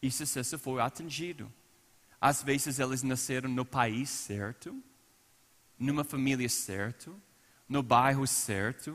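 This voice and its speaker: Using an American accent, a man at a medium pitch speaks at a very slow pace with fairly even intonation and long, frequent pauses. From United States. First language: English (speaking Portuguese). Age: 40s. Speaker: pastor. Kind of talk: sermon. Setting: church service.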